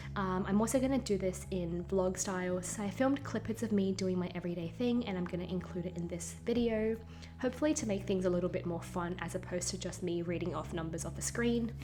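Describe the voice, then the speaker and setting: A woman talks at a very fast pace with hardly any pauses, amid noticeable background noise and audible room echo. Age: 20s. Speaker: vlogger. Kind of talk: casual vlog narration.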